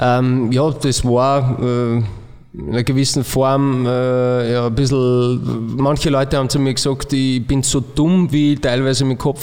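Over noticeable background noise, a man talks fairly slowly in a flat monotone at a medium pitch. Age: 30s. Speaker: football coach, former player. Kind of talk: casual chat.

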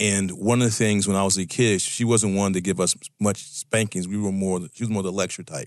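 Hardly pausing, a man with an American accent speaks in a fairly low pitch with fairly even intonation over a quiet background. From Virginia, US. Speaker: guest co-host, life mentor. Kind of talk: casual talk radio conversation. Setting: radio studio. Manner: hesitant, with frequent fillers and repeated words.

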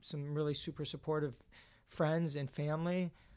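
A man speaks with a New York accent at a fairly high pitch. The recording is very clean, with a silent background. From New York City. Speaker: runner and nonprofit worker. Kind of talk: interview. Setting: in person in Boston. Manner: fast.

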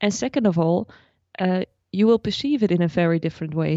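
A woman with a Dutch accent, medium pitch and a moderate pace. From Netherlands. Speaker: personal finance blogger. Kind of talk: interview.

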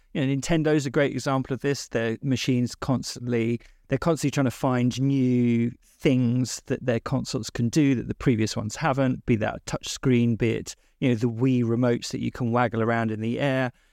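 Speaking at medium pitch in an ordinary speaking voice, a man goes at a fairly quick pace with fairly even intonation, in a dry, close sound with no echo. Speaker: games writer and podcaster.

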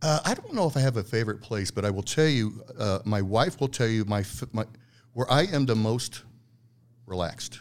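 The speaker uses a normal speaking voice at a moderate pace. The intonation is lively. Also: man, medium pitch for a man. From Italian-American heritage. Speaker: agency founder and business development guest. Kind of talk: casual interview conversation.

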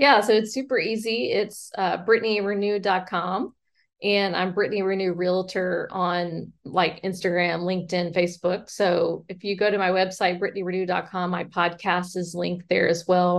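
A woman with an American accent and an ordinary speaking voice, medium in pitch, at a moderate pace with hardly any pauses and fairly even intonation. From US South, Mobile, Alabama. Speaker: real estate agent. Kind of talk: casual interview.

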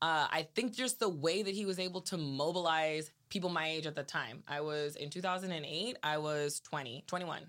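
An animated woman with an American accent speaks at a moderate pace in a bright, sharp tone. The recording is very clean, with a silent background. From Salinas, California. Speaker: city council candidate. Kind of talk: interview. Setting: studio.

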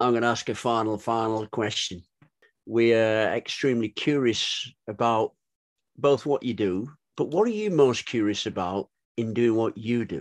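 A man speaks in a plain, everyday voice at a moderate pace, with fairly even intonation. The sound is dry and close with no echo, over a quiet background. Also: medium pitch for a man. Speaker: podcast co-host. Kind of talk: interview.

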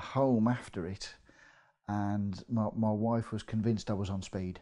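With an English Midlands accent, a man speaks at a very slow pace in a dark, mellow tone with fairly even intonation. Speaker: property investor. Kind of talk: casual interview.

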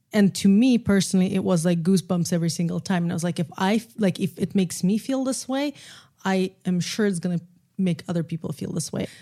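On a very clean recording with a silent background, a woman with a Russian accent speaks very fast at a medium pitch, her somewhat breathy tone dark and mellow, with ordinary pitch variation. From Russia, Moscow. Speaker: film and podcast producer. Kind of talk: casual chat.

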